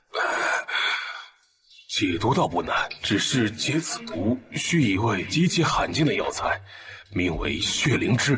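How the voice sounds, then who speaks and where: A man's put-on character voice, fairly high in pitch, at a fairly slow pace. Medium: short film. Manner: measured, deferential.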